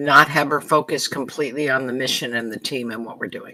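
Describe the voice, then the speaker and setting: A raspy, put-on character voice at a low-to-middle pitch and a fairly quick pace. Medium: actual play.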